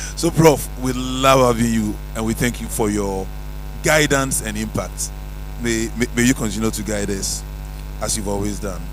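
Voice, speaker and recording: A man talks at a moderate pace, with audible room echo and noticeable background noise in the recording. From Ghana. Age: 60s. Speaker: retired pharmacology professor, guest speaker. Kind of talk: keynote speech. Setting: auditorium with audience.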